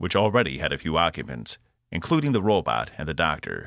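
A man with a bright, sharp tone and vocal fry speaks dramatically at a fairly quick pace, with very wide pitch swings. The recording is very clean and dry, close with no echo, with a silent background. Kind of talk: literary audiobook reading, scripted narration of a sci-fi novel. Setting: studio. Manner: steady, dramatic storytelling pace; shifts tone to voice characters, crisp commands, smooth villain.

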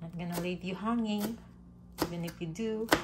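There is noticeable background noise behind this woman as she speaks. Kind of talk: casual cooking vlog chat. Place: kitchen. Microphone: phone near.

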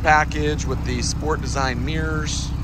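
The speech comes at a very slow pace, with a dry sound with no echo and loud background noise. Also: man. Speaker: car dealer salesperson. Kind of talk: sales walk-around commentary. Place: street. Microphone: phone near.

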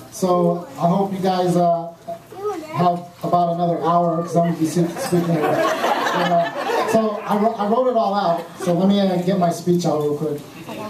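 A man, heard at a moderate pace, talks with noticeable background noise behind him. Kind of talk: wedding speech. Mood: nervous, joking. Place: hall. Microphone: camera far.

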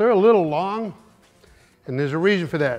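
A man talks at a very fast pace with a high pitch and ordinary pitch variation. Faint music sits in the background. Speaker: garage show host mechanic. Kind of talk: tutorial. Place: garage.

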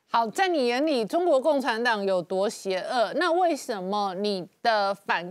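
Against a quiet background, a woman with a Taiwanese accent speaks very slowly in a fairly high pitch, with very wide pitch swings. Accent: Taiwanese Mandarin. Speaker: TV talk show host. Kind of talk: interview. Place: studio.

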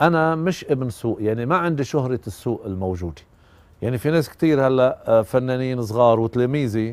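A man with a Lebanese accent at medium pitch and a moderate pace, with ordinary pitch variation and a dry sound with no echo. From Lebanon. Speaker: musician and composer. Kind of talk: documentary interview. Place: garden. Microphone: lapel.

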